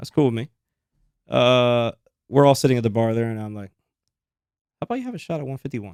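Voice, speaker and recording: Ordinary pitch variation in a dry, close sound with no echo, on a very clean recording with a silent background. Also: man. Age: 30s. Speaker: podcast co-host. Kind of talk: casual chat.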